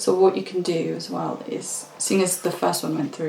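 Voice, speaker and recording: The voice is soft-spoken. There is noticeable background noise. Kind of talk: casual instructional talk during a craft session.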